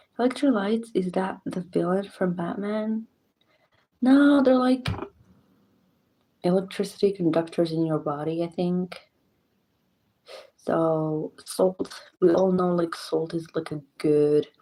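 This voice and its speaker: A woman whispering at a fairly slow pace with long, frequent pauses. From Morocco. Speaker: streamer. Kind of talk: live stream chat. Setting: home at night, live stream.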